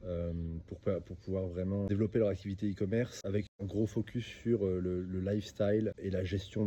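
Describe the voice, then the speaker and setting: This man has a dark, mellow tone and a fairly low, somewhat breathy voice. He talks at a moderate pace with fairly even intonation. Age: 30s. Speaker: e-commerce entrepreneur and coach. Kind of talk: self-introduction monologue. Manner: hesitant, many fillers and repetitions.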